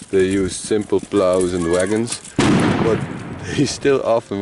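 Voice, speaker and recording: Over noticeable background noise, a man speaks at a fairly slow pace in a very deep, low voice. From Netherlands, other Dutch region. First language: Dutch. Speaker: vlogger and museum volunteer musician. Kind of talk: casual vlog, reading signs aloud.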